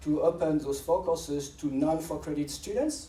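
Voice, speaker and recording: With a strong French accent, a man speaks amid noticeable background noise and audible room echo. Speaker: professor and AI researcher. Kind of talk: lecture. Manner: fast; halting, with frequent restarts.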